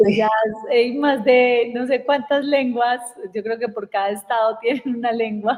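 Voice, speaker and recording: Speaking at a fairly slow pace, a woman with an Antioquian accent keeps a high pitch in a monotone, flat intonation. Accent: Antioquian Colombian Spanish (paisa). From Colombia, Antioquia (Medellín, southwest rural area). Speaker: communication and personal development coach. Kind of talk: casual chat.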